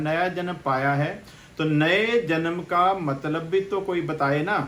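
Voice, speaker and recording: A man is heard talking over noticeable background noise. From Punjab, India. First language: Punjabi (speaking Hindi). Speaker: pastor. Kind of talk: sermon.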